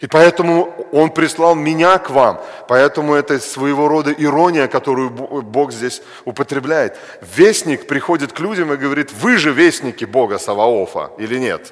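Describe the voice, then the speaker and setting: Through noticeable background noise, a man talks at a moderate pace with a fairly high pitch and ordinary pitch variation. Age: 40s. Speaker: preacher. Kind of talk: sermon.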